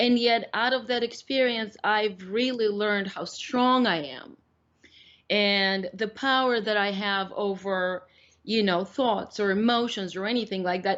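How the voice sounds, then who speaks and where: With a Russian accent, a woman talks at a moderate pace using a fairly high pitch and ordinary pitch variation. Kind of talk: interview. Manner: halting.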